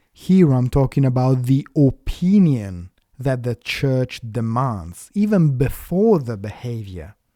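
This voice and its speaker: On a very clean recording with a silent background, the speaker goes at a very slow pace in an Italian accent with hardly any pauses. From Italy. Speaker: atheist commentator. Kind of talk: rebuttal commentary.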